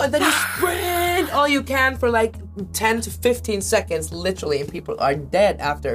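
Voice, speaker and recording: Fairly slow speech with music in the background. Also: woman. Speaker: singer. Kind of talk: interview answer. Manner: lively, energetic.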